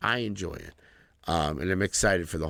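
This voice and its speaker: Recorded very cleanly over a silent background, a man talks at a fairly quick pace with vocal fry. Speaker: podcast co-host and musician. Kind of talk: casual chat. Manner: casual, hesitant with fillers.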